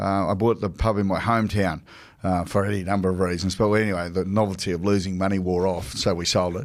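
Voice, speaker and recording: A man with an Australian accent, very deep and low in pitch, at a very fast pace and in a monotone, flat intonation. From southeast Queensland, Australia. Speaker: retired rugby league player, sports newsreader. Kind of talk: casual chat.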